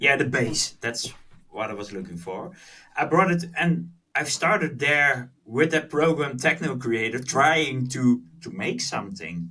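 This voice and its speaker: A man with a Dutch accent speaks fairly slowly in a fairly high, bright, sharp voice with vocal fry. His pitch swings very widely and his loudness swings a lot. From Netherlands. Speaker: music producer. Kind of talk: podcast interview. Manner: halting.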